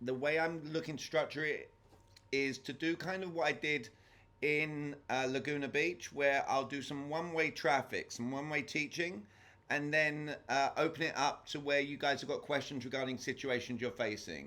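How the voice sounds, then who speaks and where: With a strong English accent, a man speaks at a moderate pace in a fairly high pitch, his tone bright and sharp and his intonation fairly even. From England. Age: 40s. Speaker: sales trainer. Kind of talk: lecture. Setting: video call.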